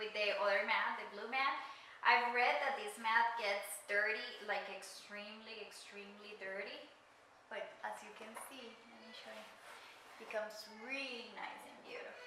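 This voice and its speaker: A woman with a fairly high pitch talks at a moderate pace, her intonation fairly even but her loudness swinging widely, with noticeable background noise and audible room echo. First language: not English. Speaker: craft YouTuber. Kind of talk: tutorial.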